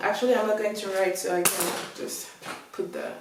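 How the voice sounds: A woman talks at a moderate pace in a slightly mellow tone. Strong room echo colors the recording.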